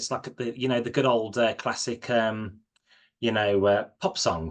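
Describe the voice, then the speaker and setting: A man's normal speaking voice at a medium pitch and moderate pace, with a quiet background. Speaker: chat show host. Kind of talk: casual interview host talk.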